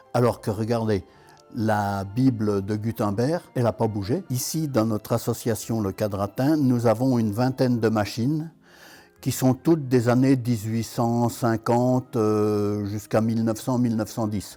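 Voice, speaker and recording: Over background music, a man with a medium pitch speaks fairly slowly with fairly even intonation. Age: 80s+. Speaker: traditional printer. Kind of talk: documentary interview.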